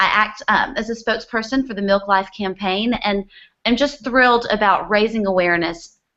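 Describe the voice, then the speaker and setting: In a Southern US accent, a woman speaks at a fairly high pitch with fairly even intonation. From US South, Birmingham, Alabama. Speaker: dietitian and spokesperson. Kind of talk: live video panel discussion. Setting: video call.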